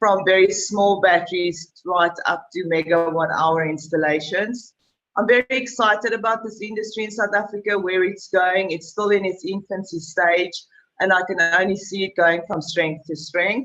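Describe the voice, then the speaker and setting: A woman speaks in a normal speaking voice at a moderate pace. Her pitch is medium, with ordinary variation. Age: 40s. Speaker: sales and marketing manager. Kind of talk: panel discussion.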